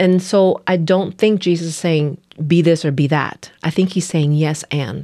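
A woman talks with a Spanish accent at a fairly slow pace and a fairly low pitch. Her tone is dark and mellow, and her intonation stays fairly even. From Nicaragua. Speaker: pastor. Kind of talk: casual chat.

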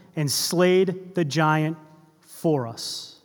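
Pitch varies in an ordinary way as a man speaks very slowly. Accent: American. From US Northeast, Boston area. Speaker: preacher. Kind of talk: sermon. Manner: conversational, with fillers and repetitions.

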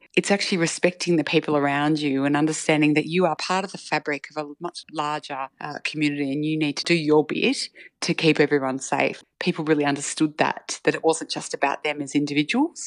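In an Australian accent, the speaker talks at a fairly quick pace with hardly any pauses and monotone, flat intonation, the sound dry and close with no echo. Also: woman, very deep, low pitch for a woman. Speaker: community health manager. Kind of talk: interview.

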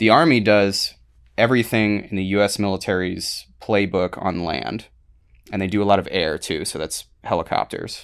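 A man with an American accent and a normal speaking voice, fairly low in pitch with ordinary pitch variation, at a moderate pace on a very clean recording with a silent background. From US, Baltimore area then Florida. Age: 30s. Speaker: military veteran. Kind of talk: casual interview.

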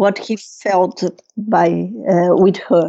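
Speaking at a very slow pace, a woman has a Brazilian accent and a dark, mellow tone. Her pitch varies in an ordinary way. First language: Portuguese. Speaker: Jungian psychotherapist and author. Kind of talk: interview. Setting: video call. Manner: halting.

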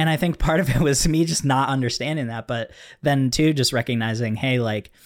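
In a very clean recording with a silent background, a man with a normal speaking voice talks at a moderate pace, using a medium pitch and ordinary pitch variation. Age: 20s. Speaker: podcast host and filmmaker. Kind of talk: casual chat.

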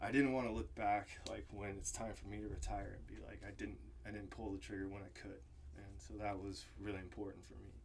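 Amid audible room echo, a man talks fairly quickly at a fairly low pitch, with very wide pitch swings and big swings in loudness. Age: 30s. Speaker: world traveler. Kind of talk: casual chat.

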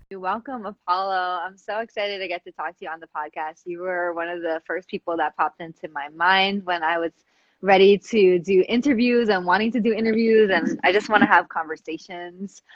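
Using a plain, everyday voice, a woman talks fairly quickly at a medium pitch with ordinary pitch variation. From New York, the Bronx. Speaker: podcast host and dance performer. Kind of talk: casual interview. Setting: live video stream.

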